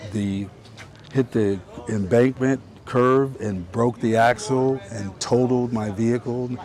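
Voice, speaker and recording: Against noticeable background noise, a man of medium pitch speaks at a very slow pace with fairly even intonation. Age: 60s. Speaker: homeless man who repairs bikes. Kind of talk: street interview. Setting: outdoors on the street. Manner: halting, with repeated words and self-corrections.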